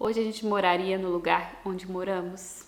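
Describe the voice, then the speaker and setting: Noticeable background noise sits behind a woman who speaks at a moderate pace with a Brazilian accent. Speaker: vlogger. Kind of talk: personal vlog narration. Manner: reflective.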